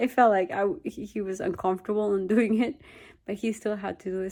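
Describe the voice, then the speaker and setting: Ordinary pitch variation and a dark, mellow tone with a Peruvian accent on a very clean recording with a silent background. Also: woman. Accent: Peruvian Spanish accent, noticeable. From Peru, Lima. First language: Spanish. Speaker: vlogger. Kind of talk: personal testimony. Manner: halting, with repetitions.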